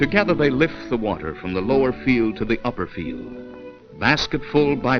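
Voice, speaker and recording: A man at medium pitch with lively intonation and a fairly slow pace, music playing in the background. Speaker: narrator. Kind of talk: documentary propaganda film narration.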